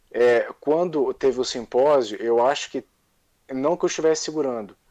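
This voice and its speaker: Speaking at a fairly slow pace, a man has a Carioca accent. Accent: carioca Brazilian Portuguese. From Rio de Janeiro, Brazil. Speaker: monarchist activist. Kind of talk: casual chat.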